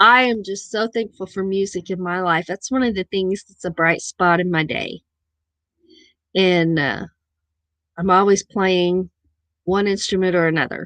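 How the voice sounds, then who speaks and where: A woman with a Missouri accent speaks at medium pitch and a moderate pace, taking long, frequent pauses. Her intonation is fairly even, and the sound is dry and close with no echo against a quiet background. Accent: own Missouri accent, sometimes noticeable. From southern Missouri, near Arkansas border. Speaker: live stream host. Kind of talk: casual chat.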